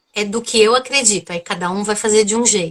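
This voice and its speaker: A woman is speaking. She has a strong São Paulo accent. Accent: strong São Paulo Brazilian Portuguese. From Brazil, São Paulo. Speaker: psychotherapist. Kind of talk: live video interview.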